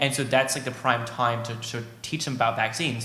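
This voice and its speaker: A man rattles along at a very fast pace through audible room echo and noticeable background noise. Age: young. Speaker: young vaccine advocate. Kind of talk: panel discussion.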